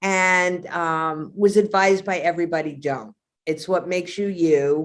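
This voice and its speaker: With a New York accent, a woman speaks at a fairly slow pace and fairly low pitch, using ordinary pitch variation. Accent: heavy New York. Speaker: actor. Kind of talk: interview.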